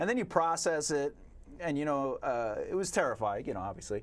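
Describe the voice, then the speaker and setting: Recorded very cleanly against a silent background, a man with a fairly high pitch speaks with a Long Island accent, his pitch swinging very widely. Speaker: poet and author. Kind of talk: casual chat. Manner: halting.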